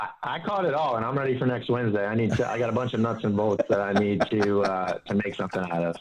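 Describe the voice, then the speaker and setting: A man talks at a very fast pace with hardly any pauses, at a medium pitch and with ordinary pitch variation. There is noticeable background noise. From Pittsburgh area, US. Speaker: financial advisor. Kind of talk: interview.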